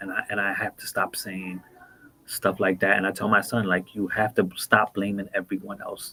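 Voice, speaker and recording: A man speaks at a moderate pace. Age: 50s. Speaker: former prisoner turned mentor. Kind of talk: interview.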